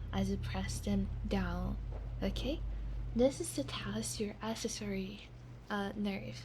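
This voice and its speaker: A soft-spoken woman whispering at a very slow pace, over noticeable background noise. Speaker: ASMR vtuber. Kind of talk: ASMR medical roleplay, cranial nerve exam. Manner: soft-spoken, whispering.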